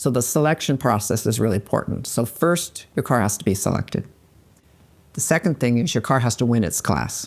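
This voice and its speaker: Lively intonation carries an American accent at a fairly quick pace. The recording is very clean, with a silent background. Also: woman, very deep, low pitch for a woman. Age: 60s. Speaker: car show organizer. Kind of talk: interview.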